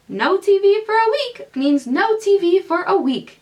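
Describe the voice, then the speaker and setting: At a moderate pace, a woman puts on a character voice pitched extremely high. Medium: read story.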